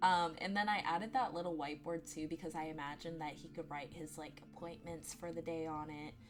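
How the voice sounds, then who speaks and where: Music plays in the background as a woman with a very deep, low voice speaks at a fairly quick pace. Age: 20s. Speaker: gaming youtuber. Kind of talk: gameplay voiceover. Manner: casual, filler words.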